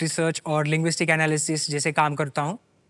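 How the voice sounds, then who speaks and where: Bright and sharp in tone, a man speaks with a Marathi accent in a dry, close recording with no echo and a silent background. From Jalgaon, north Maharashtra, India. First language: Marathi (speaking Hindi). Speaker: quiz show contestant, language freelancer. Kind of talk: interview on game show. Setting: TV studio with audience. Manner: formal.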